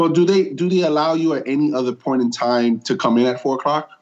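A man with a normal speaking voice talks at a fairly quick pace, his pitch fairly high and his pitch variation ordinary. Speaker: podcast co-host. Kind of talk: casual chat.

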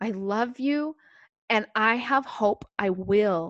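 A woman with an unremarkable speaking voice and a fairly high pitch talks with lively intonation. The sound is dry and close with no echo, against a quiet background. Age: 40s. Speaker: religious podcast co-host. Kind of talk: faith testimony conversation.

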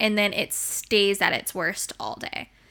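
A woman's bright, sharp voice on a very clean recording with a silent background. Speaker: podcast host, dog groomer. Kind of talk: casual chat, podcast.

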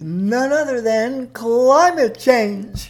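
Behind this woman's speech, noticeable background noise is present. It stays beneath her throughout. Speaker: comic character Mother Nature.

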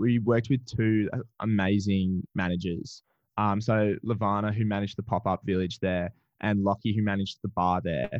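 This man speaks with an Australian accent at a moderate pace. His pitch sits fairly low. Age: 20s. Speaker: trivia business owner. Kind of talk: interview. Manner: animated.

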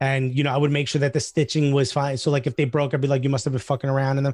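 Over a quiet background, a man with a fairly high pitch and a somewhat breathy voice talks at a very fast pace. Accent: American. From US Northeast. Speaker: stand-up comedian. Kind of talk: casual chat. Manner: animated.

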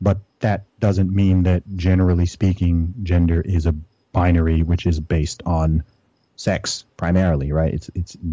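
With an American accent, a man speaks at a moderate pace in a very deep, low pitch, his dark, mellow tone paired with fairly even intonation. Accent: sounds American. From Saudi Arabia and UK, Nigerian family. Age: 30s. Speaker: rapper and weightlifter. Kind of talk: interview.

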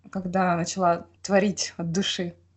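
Somewhat breathy, a woman's voice moves at a fairly slow pace. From Russia, Khanty-Mansi region. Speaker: podcast host. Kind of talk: interview. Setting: remote call.

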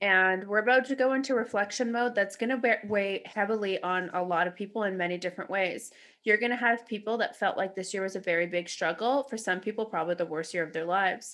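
A woman with a Canadian accent at medium pitch, very fast with hardly any pauses, ordinary pitch variation, over a quiet background. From Canada, Toronto. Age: 30s. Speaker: podcast host. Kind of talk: casual chat. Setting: video call.

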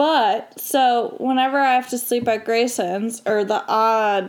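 At a fairly slow pace, a woman with an American accent speaks in an unremarkable speaking voice at a fairly high pitch. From Michigan. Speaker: college student, guest. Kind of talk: casual chat.

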